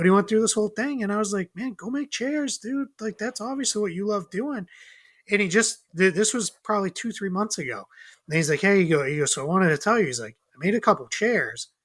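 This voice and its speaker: A man with a high voice talks at a very fast pace with lively intonation in a very clean recording with a silent background. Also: dry, close sound with no echo. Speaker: podcast guest. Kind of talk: casual chat. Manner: animated.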